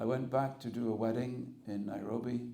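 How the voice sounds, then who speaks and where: Audible room echo surrounds a man with an English accent whose dark, mellow tone carries vocal fry. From England. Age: 60s. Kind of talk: spiritual talk. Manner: conversational, humorous.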